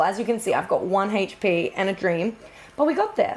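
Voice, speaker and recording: A woman speaks with an Australian accent. Her pace is very fast. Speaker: video game streamer. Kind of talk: live gameplay stream chat. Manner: animated.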